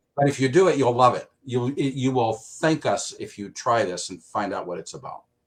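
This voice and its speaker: A somewhat breathy man's voice at medium pitch and moderate pace, with hardly any pauses, lively intonation and big swings in loudness. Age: 60s. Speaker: product user giving testimony. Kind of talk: testimony.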